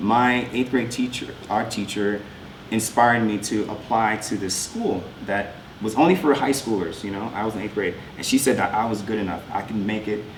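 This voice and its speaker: In a room with audible echo and noticeable background noise, a man with a New York accent speaks at a fairly low pitch, moderate pace and ordinary pitch variation. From New York, Long Island (Westbury). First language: French. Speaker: artist. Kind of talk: talk with slides. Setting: school presentation to artists' guild.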